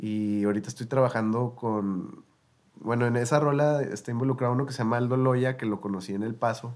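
A man in a normal speaking voice talks at a fairly quick pace with a medium pitch and fairly even intonation. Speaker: singer-songwriter and producer. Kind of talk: casual interview chat.

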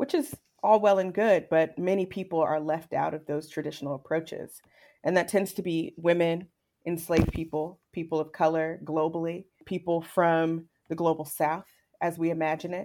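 A woman's fairly low, dark, mellow voice with an American accent, moderate pace and fairly even intonation, recorded very cleanly against a silent background. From Virginia. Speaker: historian. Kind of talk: interview.

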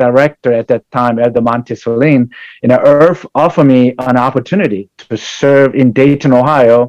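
Speech at a moderate pace with fairly even intonation and hardly any pauses, recorded with a dry, close sound and no echo. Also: man. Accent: Korean. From South Korea. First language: Korean. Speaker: pastor and church community services director. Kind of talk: interview. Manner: halting.

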